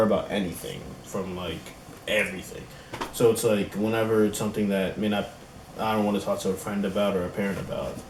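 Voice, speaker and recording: Over noticeable background noise and audible room echo, a man with a fairly low pitch talks at a very fast pace. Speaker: YouTuber in a couple channel. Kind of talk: casual chat. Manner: loud.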